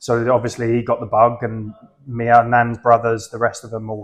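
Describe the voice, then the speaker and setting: A man with an Essex accent, medium pitch and fairly quick pace. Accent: southern English (Essex). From Essex, south-east England. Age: 40s. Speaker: football fan guest. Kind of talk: casual podcast chat.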